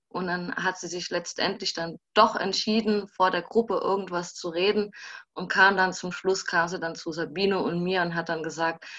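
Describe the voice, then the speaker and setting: A woman's fairly low-pitched voice with a bright, sharp tone at a moderate pace over a quiet background. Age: 20s. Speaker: social work student and former intern. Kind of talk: casual interview. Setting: video call.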